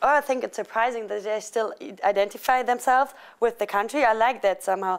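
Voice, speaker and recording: Speaking at a very fast pace in a German accent, a woman with a fairly high pitch and ordinary pitch variation comes through on a very clean recording with a silent background. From Germany. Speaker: international student. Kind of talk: interview.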